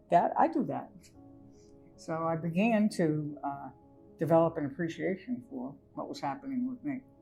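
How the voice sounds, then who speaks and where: Over music in the background, a woman with a fairly low pitch speaks at a moderate pace with very wide pitch swings. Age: 70s. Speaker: educational diagnostician. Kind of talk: podcast interview answer.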